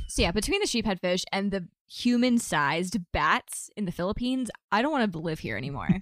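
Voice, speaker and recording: A woman with an unremarkable speaking voice talks at a medium pitch with lively intonation. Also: fairly quick pace, hardly any pauses. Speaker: friend making brief appearance. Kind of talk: casual chat.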